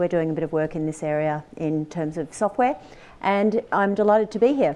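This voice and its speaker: With an Australian accent, a woman speaks fairly quickly at a fairly low pitch. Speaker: company CEO and panel moderator. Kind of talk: conference panel moderation. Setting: stage with audience at conference.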